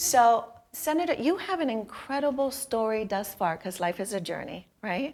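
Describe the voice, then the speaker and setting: A woman with an unremarkable speaking voice and a fairly high pitch talks at a moderate pace with lively intonation. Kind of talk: interview host.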